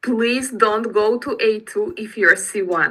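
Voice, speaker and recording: A woman speaks very slowly in a Russian accent. Her pitch is medium. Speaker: English teacher. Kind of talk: online class instructions. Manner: halting.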